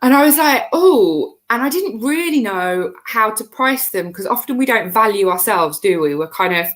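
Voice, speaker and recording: The voice swings very widely in pitch and hardly pauses at all. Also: woman, fairly high pitch for a woman, moderate pace. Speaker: cake maker, member of baking business community. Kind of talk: casual interview chat. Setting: live video stream. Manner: loud; animated.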